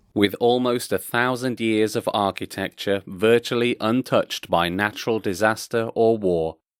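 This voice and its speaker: A man with a plain, everyday voice, medium pitch and a fairly slow pace, in a very clean recording with a silent background and a dry, close sound with no echo. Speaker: voice actor. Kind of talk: factual travel narration.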